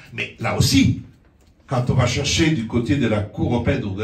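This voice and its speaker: Through audible room echo and noticeable background noise, a man speaks at a medium pitch. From outside France. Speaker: lawyer. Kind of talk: public talk. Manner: animated; halting.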